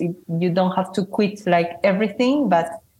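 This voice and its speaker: A woman is speaking. Her pitch is medium. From Spain. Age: 30s. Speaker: solo touring cyclist. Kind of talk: interview. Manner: hesitant, many fillers.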